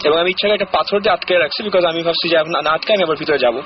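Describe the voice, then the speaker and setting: Pitch moves in an ordinary way while noticeable background noise runs underneath. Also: man. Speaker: caller sharing a ghost experience on a radio show. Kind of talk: casual storytelling in a radio interview. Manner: conversational, mixes English words into Bengali.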